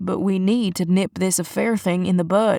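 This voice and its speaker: At a moderate pace, a woman puts on a gruff character voice at medium pitch, monotone and flat, with very even loudness, on a very clean recording with a silent background. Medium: read story. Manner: deadpan, gruff.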